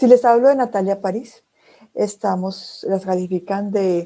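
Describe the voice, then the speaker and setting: This woman's voice sits at a medium pitch, with a dark, mellow tone and fairly even intonation. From Colombia, Bogotá. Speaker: speech therapist and communication trainer. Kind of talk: lecture.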